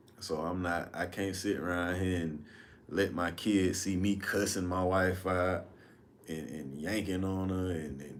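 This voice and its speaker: In a room with audible echo, a man speaks at a moderate pace with a very deep, low pitch and fairly even intonation. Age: 30s. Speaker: livestream host. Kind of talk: casual storytelling livestream. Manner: casual, conversational.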